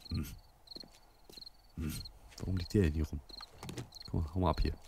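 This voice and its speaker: Through noticeable background noise and a dry sound with no echo, a man with a very deep, low pitch speaks at a moderate pace with fairly even intonation. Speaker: let's play gamer; gamer. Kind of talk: casual gameplay commentary. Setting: home recording, muffled microphone.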